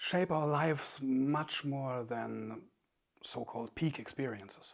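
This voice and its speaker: With a German accent, the speaker talks at a very slow pace in a calm tone with ordinary pitch variation. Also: man. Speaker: author and meditation teacher. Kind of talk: reflective talk. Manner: calm, halting with fillers.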